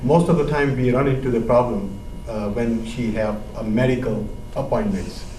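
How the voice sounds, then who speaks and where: Against noticeable background noise and audible room echo, a man with a medium pitch speaks at a moderate pace with ordinary pitch variation. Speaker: panel member asking a question. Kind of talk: panel Q&A. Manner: halting, many fillers.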